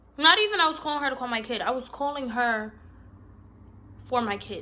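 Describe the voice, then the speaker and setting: With an animated tone, a woman talks at a fairly quick pace with ordinary pitch variation. Audible room echo surrounds her voice. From Puerto Rican heritage, US Northeast. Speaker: vlogger. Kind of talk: storytime vlog. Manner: loud.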